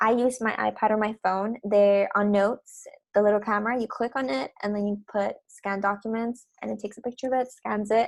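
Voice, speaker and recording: Using a normal speaking voice, a woman talks at a fairly quick pace, her fairly high pitch showing ordinary variation. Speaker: lab teaching assistant. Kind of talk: course instructions. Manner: casual, with fillers.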